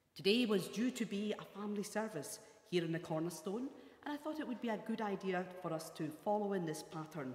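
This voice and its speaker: The speech moves at a moderate pace, with audible room echo around it. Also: woman. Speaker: church minister. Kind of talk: welcome address for worship service. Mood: warm, welcoming. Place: hall. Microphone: lapel.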